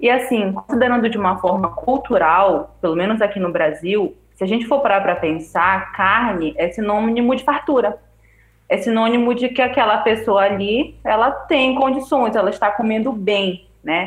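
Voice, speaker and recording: Using a plain, everyday voice, a woman talks at a moderate pace with lively intonation and a fairly high pitch. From Belém, Pará, Brazil. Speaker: vegetarian guest. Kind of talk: casual chat.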